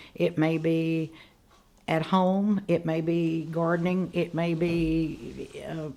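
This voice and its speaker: In a very clean recording with a silent background, a woman with a dark, mellow tone and fairly low pitch talks at a very slow pace in a monotone, flat intonation. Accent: American. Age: 80s+. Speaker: retired educator and historical society president. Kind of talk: casual interview.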